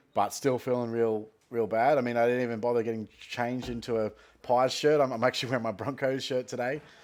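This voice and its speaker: Talking at a very fast pace in a flat monotone, a man with an Australian accent holds a medium pitch. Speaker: fantasy football podcast host. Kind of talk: casual solo talk. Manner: lethargic.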